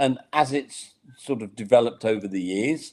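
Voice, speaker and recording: This man speaks with a British accent. His pitch is medium and his pace moderate. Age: 60s. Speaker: accessibility consultant. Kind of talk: interview. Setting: online live webinar.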